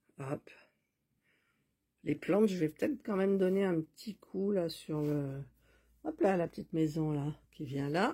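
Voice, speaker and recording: With long, frequent pauses, a woman speaks in a fairly low, somewhat breathy voice with a dark, mellow tone and ordinary pitch variation. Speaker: miniature crafting YouTuber. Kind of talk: casual crafting tutorial chat. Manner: soft-spoken; hesitant, many fillers.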